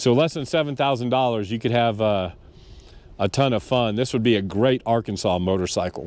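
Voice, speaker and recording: In a quiet background, a man with a medium pitch and a normal speaking voice talks at a fairly quick pace with ordinary pitch variation. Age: 60s. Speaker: motorcycle vlogger. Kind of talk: casual product review to camera. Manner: casual, many fillers.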